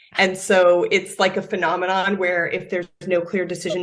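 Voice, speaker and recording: A woman speaks at a fairly quick pace in a medium pitch. Her intonation is monotone and flat. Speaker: product marketing director. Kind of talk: interview. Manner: loud.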